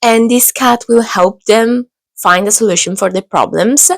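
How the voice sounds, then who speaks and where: The recording is very clean, with a silent background and a dry, close sound with no echo. A woman speaks with ordinary pitch variation. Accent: Italian. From Italy. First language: Italian. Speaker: book vlogger. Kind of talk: casual book haul talk to camera. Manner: hesitant, many fillers.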